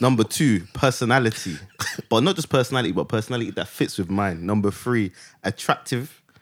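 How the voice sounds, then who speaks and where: Using a plain, everyday voice, a man talks at a fairly quick pace and a medium pitch with lively intonation. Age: 20s. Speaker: podcast co-host, guest. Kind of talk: casual chat.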